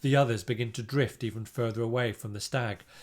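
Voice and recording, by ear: The speaker is reading aloud in a natural voice. The delivery stays that way throughout.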